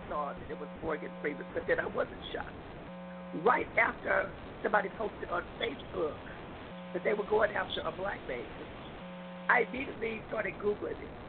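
Moderate pace from a woman, set against noticeable background noise. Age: 50s. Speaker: radio show contributor. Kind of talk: radio panel discussion. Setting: outdoors camping, remote call-in.

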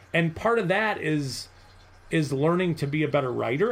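A man speaks in an unremarkable speaking voice at a fairly high pitch. His pace is fairly quick and his intonation lively. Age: 40s. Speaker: football writer and scout. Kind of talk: interview.

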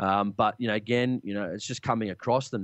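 This man has an Australian accent and a fairly low pitch, with fairly even intonation, recorded dry and close with no echo against a quiet background. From Australia, Sydney. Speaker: hunting podcast host. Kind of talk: interview. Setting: Skype call.

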